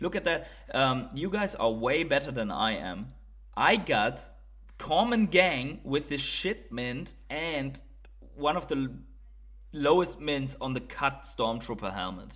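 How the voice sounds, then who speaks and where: A man with a German accent talks at a fairly slow pace, his pitch fairly high. His voice carries vocal fry and very wide pitch swings. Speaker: streamer. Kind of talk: live stream chat. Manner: hesitant, many fillers.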